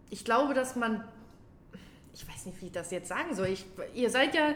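A woman talks fairly quickly and with lively intonation while noticeable background noise continues. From Germany, near Kassel (northern Hesse). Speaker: outpatient care worker. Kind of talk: casual chat.

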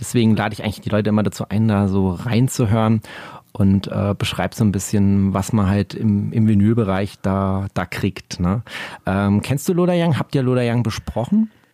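Dry and close with no echo, this very clean recording with a silent background carries a man's fairly low voice in a dark, mellow tone. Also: ordinary pitch variation, moderate pace. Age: 40s. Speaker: music podcaster and vinyl collector. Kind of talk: casual interview chat. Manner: hesitant, many filler sounds.

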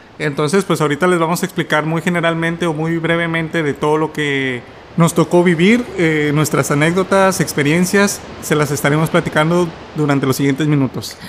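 Amid noticeable background noise, a man speaks with a fairly high pitch. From Mexico, Tampico. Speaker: podcast co-host. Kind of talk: casual chat.

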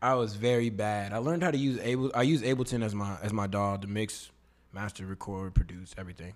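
A man with an American accent, fairly low in pitch with ordinary pitch variation, on a very clean recording with a silent background. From Katy, Texas (Houston area). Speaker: singer and rapper. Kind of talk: casual interview chat. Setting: studio.

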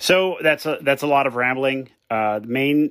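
A man talks in a normal speaking voice with an American accent, at a moderate pace. His pitch variation is ordinary, and the recording is very clean with a silent background. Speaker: caller.

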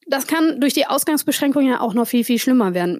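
A woman with a non-native accent speaks in a high pitch with very wide pitch swings. The sound is dry and close with no echo. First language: not German (speaking German). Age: 40. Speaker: podcast host. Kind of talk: casual chat.

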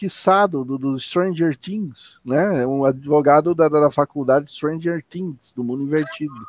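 A man's fairly high voice at a fairly slow pace with hardly any pauses and ordinary pitch variation. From Curitiba, southern Brazil. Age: 40s. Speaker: podcast co-host. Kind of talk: casual chat. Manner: halting, repeats words.

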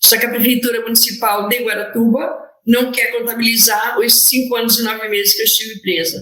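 A woman talks at a fairly quick pace in a fairly high pitch, her intonation monotone and flat, with audible echo from the room. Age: 50s. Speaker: lawyer and public servant. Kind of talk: interview testimony. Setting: remote call (hybrid format).

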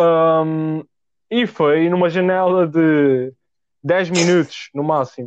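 This man's voice sits high in pitch, and its pitch variation is ordinary. The audio is dry and close, without any echo. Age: young. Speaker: podcast host. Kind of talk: casual chat. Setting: home recording at desk.

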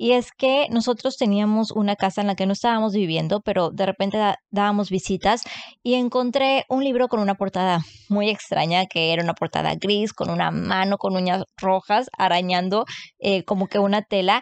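A woman of medium pitch speaks at very even loudness with ordinary pitch variation, in a dry, close sound with no echo. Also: moderate pace. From Mexico, Matamoros, Tamaulipas. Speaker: book content creator. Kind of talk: casual chat.

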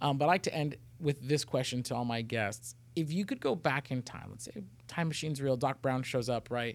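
This man's delivery is fairly quick. He varies his pitch in an ordinary way. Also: medium pitch for a man. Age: 30s. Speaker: podcast host. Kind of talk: casual interview chat.

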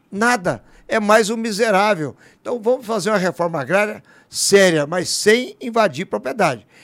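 On a very clean recording with a silent background, a man speaks at a moderate pace. His pitch is high, with lively intonation. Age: 60s. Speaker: politician. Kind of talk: interview.

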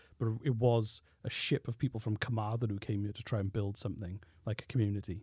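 With a Welsh accent, a man speaks at a very fast pace, somewhat breathy. His voice is fairly low, dark and mellow, with fairly even intonation. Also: dry, close sound with no echo, very clean recording, silent background. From Wales. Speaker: podcast producer. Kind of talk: casual chat. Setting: studio.

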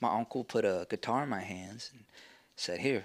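A Texan accent in a very clean recording with a silent background. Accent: Texan American. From Texas Panhandle (Amarillo). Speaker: musician. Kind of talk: casual interview.

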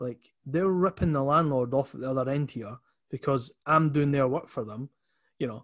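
In an Edinburgh accent, a man talks at a moderate pace with a fairly high pitch and ordinary pitch variation. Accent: Edinburgh Scottish. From Scotland, Leith (Edinburgh). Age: 30s. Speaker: entrepreneur. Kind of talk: casual interview chat.

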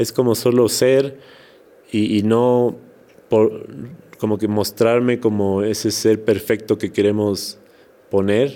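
Speaking at a fairly slow pace, a man uses a fairly low pitch and a dark, mellow tone. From Ecuador, Quito (highlands), Manabí family. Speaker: musician and actor. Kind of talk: interview. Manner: halting with repetitions.

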